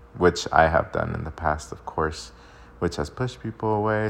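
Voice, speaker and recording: A man speaks at a moderate pace. Noticeable background noise can be heard throughout. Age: 20s. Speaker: podcast host. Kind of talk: casual monologue.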